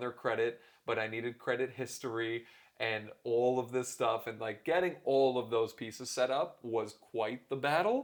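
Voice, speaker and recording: At a moderate pace, a man talks with medium pitch. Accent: slight Canadian. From Canada, Toronto. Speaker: keynote speaker and author. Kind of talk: interview conversation.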